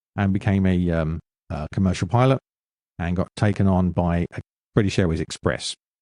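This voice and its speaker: A man's very deep, low voice with a dark, mellow tone and an English accent, fairly quick in pace, with ordinary pitch variation, a dry, close sound with no echo and a quiet background. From London, England. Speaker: former military pilot and author. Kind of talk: interview.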